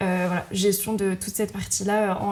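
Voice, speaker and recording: Over noticeable background noise, the voice moves at a fairly quick pace in a monotone, flat way. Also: woman. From Brittany, Rennes. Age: 20s. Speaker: entrepreneur, event manager. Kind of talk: interview. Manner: hesitant, many filler sounds.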